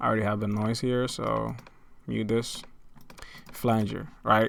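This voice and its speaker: Fairly even intonation marks a man's speech at a fairly low pitch. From outside the United States. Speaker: music producer. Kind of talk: tutorial. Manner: halting.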